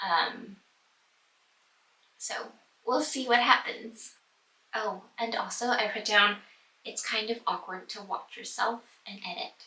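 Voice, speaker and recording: Delivery is fairly slow, with long, frequent pauses, ordinary pitch variation and big swings in loudness. Noticeable background noise runs underneath. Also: woman, fairly high pitch for a woman. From US, New York City. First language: Cantonese. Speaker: book vlogger. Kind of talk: casual vlog, tag questions. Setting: home office. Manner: hesitant, many fillers.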